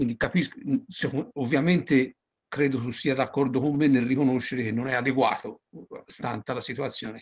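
Over a quiet background, a man speaks with fairly even intonation and long, frequent pauses. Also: moderate pace. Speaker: audience member asking questions; audience member. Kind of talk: Q&A question. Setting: video call. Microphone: video call.

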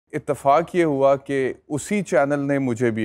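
Ordinary pitch variation colors the man's fairly slow speech. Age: 40s. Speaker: lawyer and TV anchor; lawyer, TV anchor. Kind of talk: talk show interview. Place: studio. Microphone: lapel.

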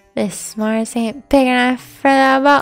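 Doing a put-on character voice, a woman speaks high in pitch at a fairly slow pace with fairly even intonation as faint music plays in the background. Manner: western drawl.

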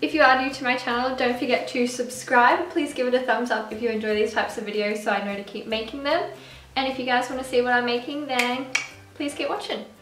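With a high pitch and ordinary pitch variation, a woman talks at a very fast pace amid audible room echo and light background noise. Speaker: food vlogger. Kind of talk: casual vlog chat. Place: kitchen. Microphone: camera far.

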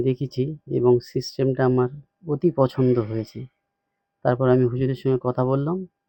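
In monotone, flat intonation, a man speaks at a medium pitch. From South 24 Parganas, West Bengal. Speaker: Islamic cleric and course student. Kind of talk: testimonial. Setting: in person visit.

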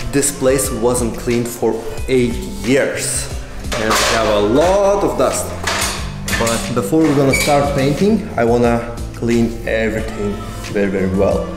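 A man speaking at a fairly slow pace with long, frequent pauses, clear music in the background. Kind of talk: casual vlog chat. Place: garage. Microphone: phone near.

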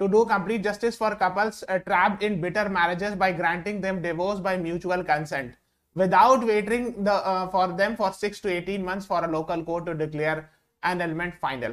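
A man with a high-pitched voice speaks against a quiet background. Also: ordinary pitch variation, moderate pace. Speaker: online exam-prep teacher. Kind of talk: lecture.

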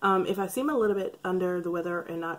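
Fast and with ordinary pitch variation, a woman talks at a fairly low pitch.

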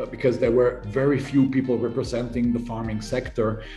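Over faint background music, a man speaks at a moderate pace with fairly even intonation. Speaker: invited guest politician. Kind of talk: interview answer. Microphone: video call.

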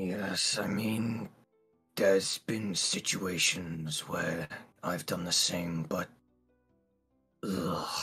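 Putting on a character voice, a man speaks very slowly at a very deep, low pitch with fairly even intonation. Long, frequent pauses break it up, with faint music in the background. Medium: actual play. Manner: dry, cynical, weary.

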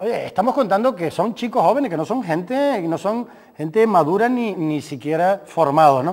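Against a quiet background, a man talks at a fairly quick pace with hardly any pauses and very wide pitch swings. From Canary Islands. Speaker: sports doctor and football coach; football coach. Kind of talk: casual chat. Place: studio.

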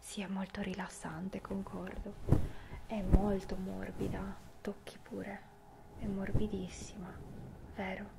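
A woman at a very slow pace with long, frequent pauses, under loud background noise. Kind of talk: ASMR role-play chat to the viewer.

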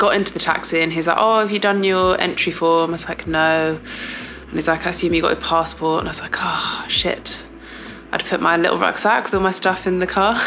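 Over light background noise, a woman with a fairly low pitch speaks at a fairly quick pace in a monotone, flat intonation. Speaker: athlete vlogger. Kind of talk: casual vlog chat. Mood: amused, self-deprecating. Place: home room. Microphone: phone near.

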